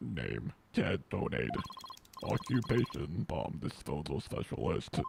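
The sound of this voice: Using a put-on, robotic character voice, a man speaks at a fairly slow pace in a very deep, low pitch.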